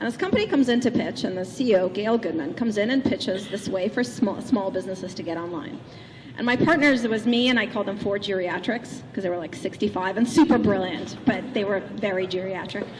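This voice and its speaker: A woman speaks very fast at medium pitch with lively intonation, over noticeable background noise. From Russia, St. Petersburg. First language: Russian. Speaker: keynote speaker. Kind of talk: keynote speech. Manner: animated.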